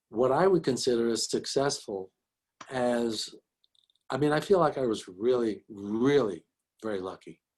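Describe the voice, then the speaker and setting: A man with a New York accent speaks at a medium pitch with lively intonation. He leaves long, frequent pauses. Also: moderate pace. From Bronx, New York. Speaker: physician and educator. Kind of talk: interview answer.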